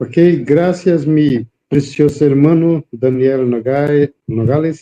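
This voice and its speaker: With a Brazilian accent, a man speaks very slowly at a fairly high pitch. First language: Portuguese (speaking Spanish). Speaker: preacher. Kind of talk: interview. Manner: halting.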